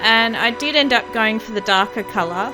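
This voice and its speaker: A woman's voice is heard. Background music accompanies it. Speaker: bead embroidery crafter. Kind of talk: tutorial voice-over narration. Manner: hesitant, casual, with filler words.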